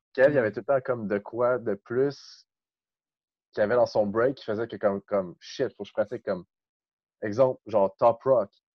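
A man's medium-pitched voice, fairly even in intonation, at a moderate pace broken by long, frequent pauses. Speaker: breakdancer. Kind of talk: casual chat.

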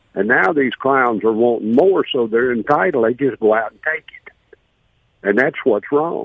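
Speaking at a moderate pace with a Southern US accent, a man uses a medium pitch and big swings in loudness. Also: ordinary pitch variation. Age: 70s. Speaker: caller. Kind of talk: call-in radio. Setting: phone call.

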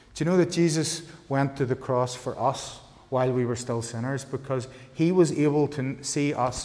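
Speaking with a Northern Irish accent, a man at medium pitch keeps a moderate pace and fairly even intonation amid audible room echo. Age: 40s. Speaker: pastor. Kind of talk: sermon.

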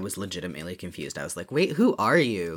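Speaking in an American accent, a man with a very deep, low pitch uses lively intonation. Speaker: podcast co-host. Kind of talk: casual chat about a book.

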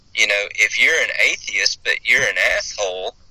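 At a moderate pace, a man speaks with a Southern US accent. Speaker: hospice chaplain. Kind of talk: interview.

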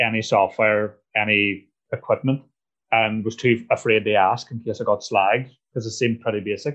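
Medium pitch from a man, with fairly even intonation. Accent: Northern Irish. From Northern Ireland, Strabane. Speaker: comedian. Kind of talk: casual chat.

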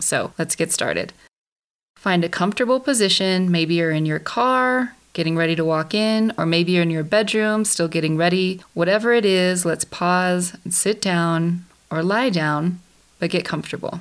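On a very clean recording with a silent background, an ordinary speaking voice talks with ordinary pitch variation. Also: woman, fairly low pitch for a woman. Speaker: podcast host. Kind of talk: guided meditation. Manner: calm, slow, soothing; gentle, instructive.

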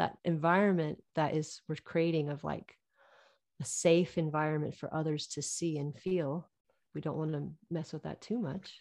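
A woman speaks with a very deep, low pitch at a moderate pace against a quiet background. Her intonation is fairly even. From US West, Reno, Nevada. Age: 40s. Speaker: yoga teacher. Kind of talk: casual interview.

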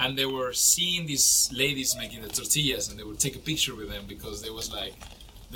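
A man speaks with a Spanish accent at a fairly quick pace. There is noticeable background noise. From Mexico. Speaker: chef. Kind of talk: casual interview.

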